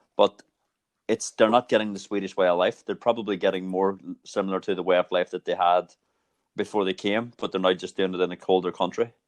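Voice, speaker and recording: A man's fairly low voice, monotone and flat, at a very fast pace. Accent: Irish. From Ireland. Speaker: podcast host. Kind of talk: conversational interview.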